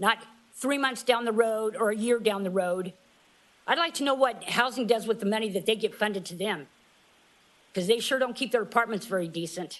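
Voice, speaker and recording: A woman with a fairly high pitch and ordinary pitch variation talks at a fairly quick pace, broken by long, frequent pauses. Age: 60s. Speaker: public commenter at council meeting. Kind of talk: public comment. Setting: council meeting at a microphone. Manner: emphatic.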